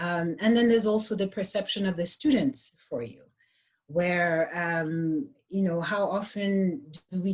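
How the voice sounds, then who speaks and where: A woman with a slight French accent speaks at a fairly slow pace, her medium-pitched voice somewhat breathy. Her pitch varies in an ordinary way. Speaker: yoga teacher. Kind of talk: panel discussion. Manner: halting, many restarts.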